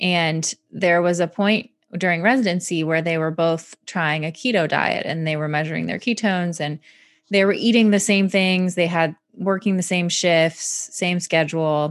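A woman with an American accent has an unremarkable speaking voice and a fairly low pitch. She talks at a moderate pace with fairly even intonation, on a very clean recording with a silent background. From Michigan, US Midwest. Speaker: physician. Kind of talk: interview.

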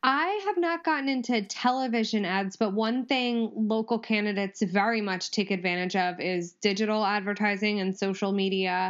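A woman's unremarkable speaking voice at medium pitch, moderately paced with hardly any pauses and ordinary pitch variation. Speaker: lawyer, judge candidate. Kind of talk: casual chat.

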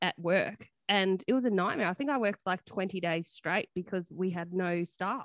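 A woman speaks at a fairly slow pace with an Australian accent. Her pitch is medium, and the background is quiet. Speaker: nurse podcast co-host. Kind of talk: casual chat. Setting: video call.

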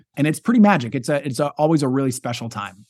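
The recording is very clean with a silent background. A man with a fairly high pitch speaks with an American accent. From Wyoming, US. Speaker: stand-up comedian. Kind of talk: interview conversation. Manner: halting, frequent word repetitions.

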